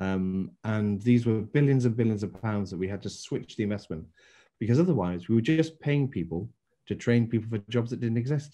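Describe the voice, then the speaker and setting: A man's dark, mellow tone at a medium pitch with an English accent, a fairly quick pace, ordinary pitch variation and a quiet background. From England. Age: 60s. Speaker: former business council chairman. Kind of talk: interview.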